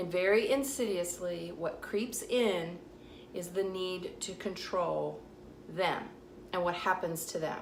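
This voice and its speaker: Speaking with a Southern US accent, a woman talks at a very slow pace and medium pitch. Her pitch varies in an ordinary way, and the room echo is audible. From US South. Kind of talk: vlog monologue. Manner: casual, direct.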